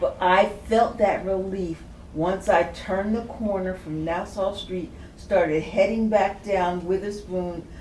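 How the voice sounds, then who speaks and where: In an American accent, a woman speaks very slowly with fairly even intonation, amid audible room echo and noticeable background noise. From Princeton, New Jersey. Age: 70s. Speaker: community elder, panelist. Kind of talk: panel discussion, personal testimony.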